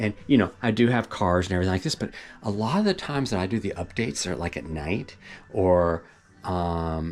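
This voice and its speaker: The man talks at a fairly quick pace. His voice is very deep and low. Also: ordinary pitch variation. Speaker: property owner vlogger. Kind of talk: casual vlog update. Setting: at home, rural wooded property. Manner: hesitant, many fillers.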